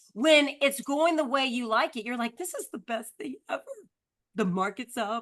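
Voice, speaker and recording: This woman speaks at a fairly quick pace. Her high-pitched voice has a bright, sharp tone. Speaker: real estate coach. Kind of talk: live online book discussion. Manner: fast.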